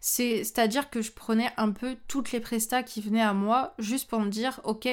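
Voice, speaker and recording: A woman with a fairly high pitch speaks at a moderate pace with hardly any pauses. Her intonation is fairly even, and the recording is very clean with a silent background. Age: 20s. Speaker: photographer and trainer. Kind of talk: solo podcast monologue. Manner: casual.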